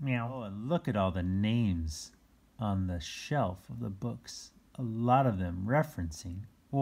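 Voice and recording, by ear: Words given by reading aloud in a natural voice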